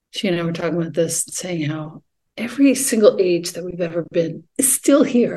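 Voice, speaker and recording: Her voice fairly low and somewhat breathy, a woman speaks at a moderate pace with lively intonation and a dark, mellow tone. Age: 50s. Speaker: yoga teacher and poet. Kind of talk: casual chat.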